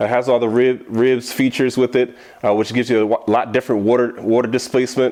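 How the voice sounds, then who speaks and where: A man speaks in an animated tone. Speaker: bass fishing angler, tackle tutorial host. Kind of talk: tutorial. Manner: fast; casual, animated.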